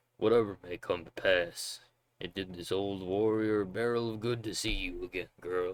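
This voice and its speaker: A man puts on a gravelly, gruff character voice, pitched fairly low. He keeps a moderate pace and fairly even intonation while his loudness swings widely. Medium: game stream. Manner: gruff, hearty.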